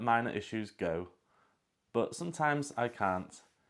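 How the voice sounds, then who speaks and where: A man at a medium pitch with a British accent, in a very clean recording with a silent background. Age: 40s. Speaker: vlogger. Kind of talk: personal monologue.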